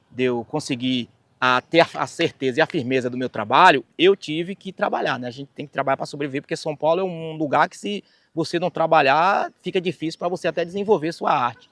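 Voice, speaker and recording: Speaking fairly quickly with a Bahian accent, a man at a fairly high pitch shows big swings in loudness on a very clean recording with a silent background. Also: ordinary pitch variation, dry, close sound with no echo. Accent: Bahian Brazilian Portuguese. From Bahia, Brazil. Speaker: singer and keyboard musician. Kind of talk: life story testimony.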